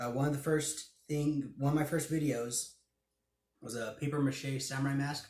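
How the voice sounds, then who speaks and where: A somewhat breathy man with a fairly high pitch, fairly even intonation and a moderate pace. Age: 20s. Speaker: hobby YouTuber. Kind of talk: casual vlog Q&A.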